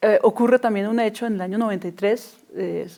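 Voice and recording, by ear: A woman's dark, mellow voice at a moderate pace with fairly even intonation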